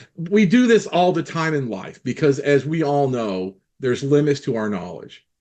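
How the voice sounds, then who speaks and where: This man's voice sits fairly high and swings very widely in pitch. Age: 60s. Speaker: clarinet teacher, former professor. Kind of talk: casual group discussion.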